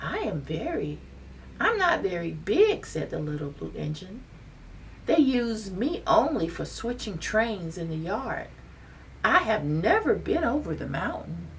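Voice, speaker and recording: The speaker uses a put-on character voice. Clear background noise can be heard. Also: moderate pace. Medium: read story. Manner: kind, earnest.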